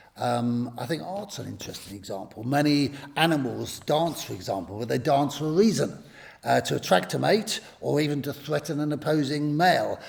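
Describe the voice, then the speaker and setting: Speaking at a fairly quick pace, a man with a fairly high voice uses lively intonation amid audible room echo. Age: 60s. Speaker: pastor. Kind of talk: public talk to a church audience. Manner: conversational, with hesitations.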